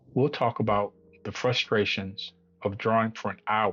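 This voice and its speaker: A man talks fairly slowly at a fairly low pitch with fairly even intonation. Music plays in the background. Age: 50s. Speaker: beginner artist vlogger. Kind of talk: channel introduction monologue.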